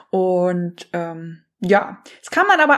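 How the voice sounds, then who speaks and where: This woman's intonation is lively. Her tone is warm and enthusiastic. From Hesse, Germany. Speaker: life coach and podcast host. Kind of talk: solo podcast monologue.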